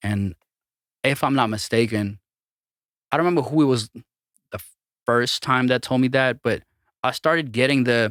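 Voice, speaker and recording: Speaking at a moderate pace with long, frequent pauses, a man with an American accent uses a medium pitch and ordinary pitch variation in a dry, close sound with no echo. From Armenia. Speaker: DJ and music producer. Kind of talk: casual chat.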